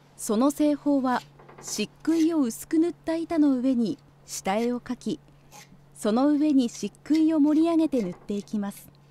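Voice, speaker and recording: Speaking at a fairly slow pace with lively intonation, a woman with a high voice sounds dry and close with no echo, over noticeable background noise. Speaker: narrator. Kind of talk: scripted narration.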